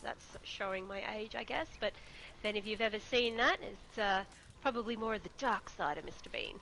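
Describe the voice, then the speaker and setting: This woman speaks with an Australian accent. Her pace is fairly quick. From Australia, Queensland. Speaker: gaming streamer. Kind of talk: interview.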